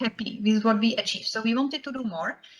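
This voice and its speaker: Noticeable background noise fills the clip. Through it comes a woman's voice. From Czech Republic. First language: Czech. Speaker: professional association chapter president, banker. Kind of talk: conference presentation. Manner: frequent hesitations (uh, um).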